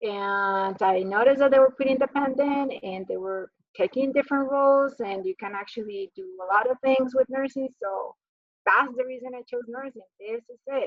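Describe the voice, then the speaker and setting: In a Spanish accent, a woman speaks with a high pitch and ordinary pitch variation. Her pace is moderate. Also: big swings in loudness. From Colombia. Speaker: psychiatric nurse practitioner. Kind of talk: talk to students about her career path. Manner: casual, conversational.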